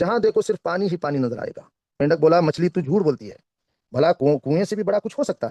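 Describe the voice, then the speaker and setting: A man with a Kannada accent speaks at a high pitch with lively intonation. The sound is dry and close, with no echo. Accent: Kannada-accented Hindi. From India, Karnataka. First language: Kannada (speaking Hindi). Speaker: network marketing trainer. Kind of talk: motivational talk with storytelling. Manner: careful, deliberate speech.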